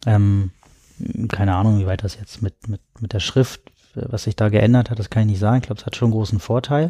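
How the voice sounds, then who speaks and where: On a very clean recording with a silent background and a dry, close sound with no echo, a man speaks at a fairly quick pace with fairly even intonation and a somewhat breathy, dark, mellow tone. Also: fairly low pitch for a man. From Berlin, Germany. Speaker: writer and tech philosopher. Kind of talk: casual chat. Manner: halting.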